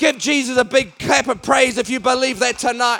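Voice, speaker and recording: A man with a New Zealand accent, extremely high pitch and a moderate pace, amid noticeable background noise. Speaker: evangelist. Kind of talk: sermon. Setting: church. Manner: animated.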